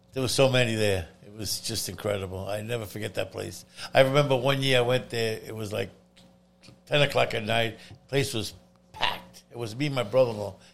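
Noticeable background noise under fairly quick talk, with ordinary pitch variation. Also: man, medium pitch for a man. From Italy. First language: Italian. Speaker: pizzeria and food shop owner. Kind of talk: casual interview chat.

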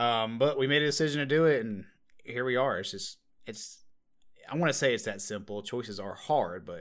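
This man has a normal speaking voice with a medium pitch. He talks at a fairly quick pace with lively intonation. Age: 20s. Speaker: podcast guest. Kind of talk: casual chat.

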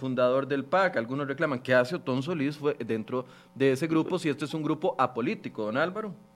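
A man speaks at a moderate pace in an ordinary speaking voice with ordinary pitch variation. The recording is very clean, with a silent background. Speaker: TV news show host. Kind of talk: interview.

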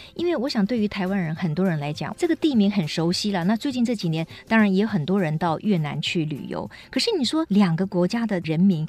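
A woman with a medium-pitched, somewhat breathy voice speaks at a fairly quick pace with lively intonation. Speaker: radio host. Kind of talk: radio interview.

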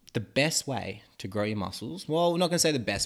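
On a very clean recording with a silent background, a man speaks at a very fast pace with very wide pitch swings. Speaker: podcast host teaching about muscle growth. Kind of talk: casual educational chat. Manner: rambling, informal, joking.

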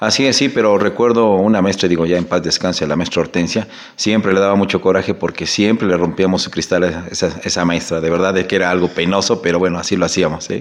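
A man with a very deep, low pitch talks at a very fast pace, with hardly any pauses. His loudness stays very even and his intonation fairly even. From Mexico, Zacatelco, Tlaxcala. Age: 40s. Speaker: municipal political candidate, accountant. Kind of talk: interview. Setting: studio.

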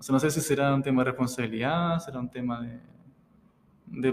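A fairly high-pitched man with fairly even intonation, moving at a fairly quick pace. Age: 20s. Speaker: physiotherapist and father. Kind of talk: interview. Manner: reserved, not very expressive.

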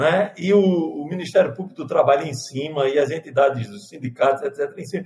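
Speaking in a plain, everyday voice, a man talks at a fairly high pitch with ordinary pitch variation, big swings in loudness and hardly any pauses. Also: fairly quick pace. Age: 50s. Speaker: pastor. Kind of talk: panel discussion.

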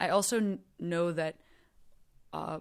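A woman is speaking. Her pace is fairly slow. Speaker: comedian. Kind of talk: casual chat. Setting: video call.

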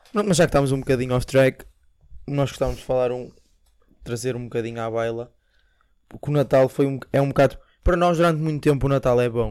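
Pausing long and often, a man speaks very fast in a medium pitch with ordinary pitch variation. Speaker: podcast co-host. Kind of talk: casual chat.

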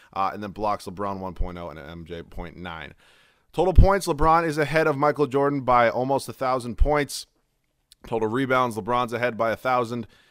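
With a normal speaking voice at medium pitch, a man speaks at a moderate pace with lively intonation and big swings in loudness. The recording is very clean, with a silent background. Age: 20s. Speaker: solo sports podcaster and video creator. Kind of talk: casual solo monologue.

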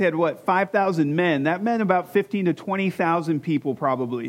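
A man speaks with an American accent at a moderate pace. His intonation is lively and his tone animated. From Michigan. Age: 40s. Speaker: pastor. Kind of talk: sermon.

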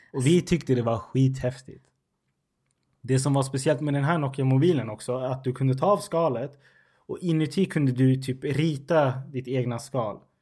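With a non-native accent, a man speaks at medium pitch and a moderate pace in a somewhat breathy, dark, mellow tone with ordinary pitch variation, on a very clean recording with a silent background. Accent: non-native Swedish. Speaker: podcast host. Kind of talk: casual chat.

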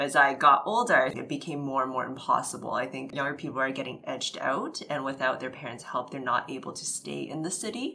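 Over noticeable background noise, a woman with a Canadian accent and a very deep, low pitch talks at a fairly quick pace with ordinary pitch variation. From Vancouver, Canada. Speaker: podcast co-host. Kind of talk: casual interview.

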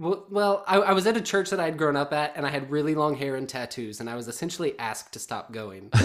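Over noticeable background noise, a man rushes at a very fast pace with hardly any pauses and lively intonation. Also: fairly high pitch for a man. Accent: American. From US South. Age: 30s. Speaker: podcast host. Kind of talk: casual chat. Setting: video call.

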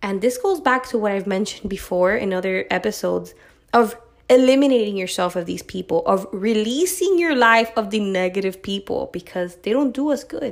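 A woman at a fairly quick pace, animated in tone with lively intonation. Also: fairly high pitch for a woman. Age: 20s. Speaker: podcast host. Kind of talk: solo monologue podcast.

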